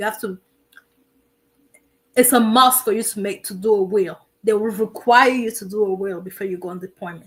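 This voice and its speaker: A woman with a non-native accent at a fairly high pitch and fairly quick pace, with fairly even intonation, big swings in loudness, and long, frequent pauses. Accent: foreign. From immigrant to the US. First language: not English. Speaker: military veteran and streamer. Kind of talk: live stream advice talk. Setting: live stream. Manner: repetitive, emphatic.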